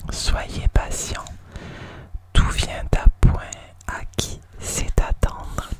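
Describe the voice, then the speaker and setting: Someone whispers in a gentle tone at a very slow pace, with long, frequent pauses, big swings in loudness and noticeable background noise. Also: woman. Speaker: ASMR creator and oracle card reader. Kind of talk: ASMR relaxation card reading to help sleep. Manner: soft, gentle, repetitive greetings.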